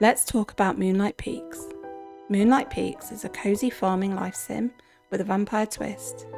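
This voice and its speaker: Background music can be heard. Over it, a woman speaks at a moderate speed. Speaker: game reviewer. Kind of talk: game review voiceover.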